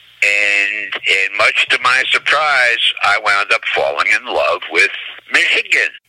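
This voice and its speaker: Over noticeable background noise, a man with an American accent speaks at a very slow pace with very even loudness. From New Jersey. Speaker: booking agency executive. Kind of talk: interview.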